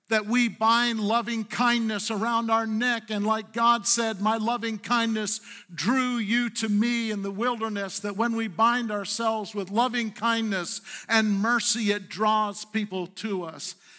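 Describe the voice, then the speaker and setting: A man with a high pitch and a bright, sharp tone speaks in a raised, projected voice at a fairly slow pace, his intonation monotone and flat. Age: 60s. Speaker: pastor. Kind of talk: Sunday sermon, pastor exhorting the congregation with call-and-response. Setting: church service with live congregation. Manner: earnest, conversational preaching with repetitions and self-corrections; coaxing the congregation for responses.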